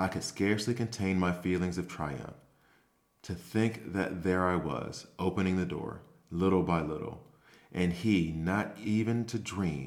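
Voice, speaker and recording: At a fairly slow pace, a man talks in a very deep, low pitch with fairly even intonation. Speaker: ASMR storyteller. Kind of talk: scripted reading aloud of a gothic horror tale, performed as a ghost story. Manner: hushed, slow and deliberate, rising to frantic shrieking at the climax; tense, creeping narration as an unreliable mad narrator.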